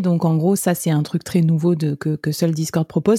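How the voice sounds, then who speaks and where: A woman's fairly low voice with a dark, mellow tone, dry and close with no echo, in a very clean recording with a silent background. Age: 30s. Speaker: podcast host and web3 freelancer. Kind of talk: interview.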